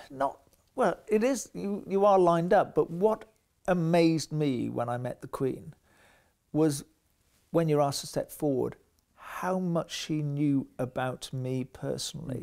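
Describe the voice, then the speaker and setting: With a fairly high pitch and a dark, mellow tone, a man speaks at a fairly slow pace with lively intonation. The recording is very clean, with a silent background. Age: 60s. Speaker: war veteran. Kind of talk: interview testimony.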